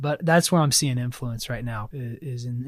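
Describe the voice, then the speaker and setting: A man speaks at a fairly quick pace in a medium pitch, his voice somewhat breathy, on a very clean recording with a silent background. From US South, South Carolina. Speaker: church member sharing faith story. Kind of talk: testimony.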